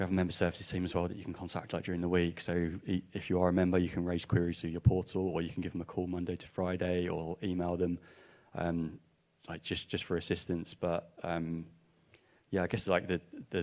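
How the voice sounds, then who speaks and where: In an Essex accent, a man mumbles at a fairly quick pace in a very deep, low voice with flat, monotone intonation. The recording is very clean, with a silent background. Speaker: music industry organisation representative. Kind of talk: panel discussion. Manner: mumbling.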